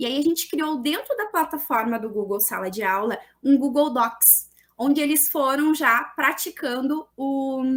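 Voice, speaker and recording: Someone speaks at a fairly slow pace with lively intonation. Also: woman, high pitch for a woman. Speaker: teacher presenting a research paper. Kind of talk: conference presentation.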